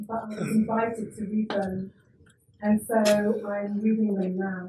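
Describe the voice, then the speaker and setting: A woman talks at a fairly slow pace, her intonation monotone and flat. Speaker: performance reader. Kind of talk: reading aloud at a live performance.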